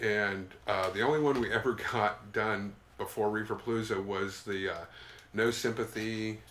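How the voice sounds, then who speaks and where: This man has a fairly low pitch and a normal speaking voice. His intonation is fairly even. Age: 50s. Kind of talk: casual chat.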